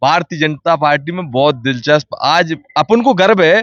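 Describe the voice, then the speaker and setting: This man speaks with an animated tone. His pitch is high. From Madhya Pradesh, Datia district. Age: young. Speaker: local politician. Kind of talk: street interview. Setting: party office, on location.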